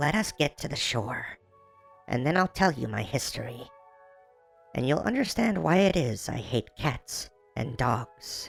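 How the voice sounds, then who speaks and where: Over faint music in the background, a man performs a put-on character voice at a medium pitch and moderate pace. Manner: trembling with passion.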